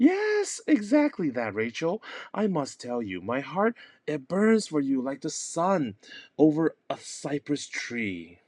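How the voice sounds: A man in a put-on character voice speaks slowly at a fairly high pitch, with very wide pitch swings and a slightly mellow tone.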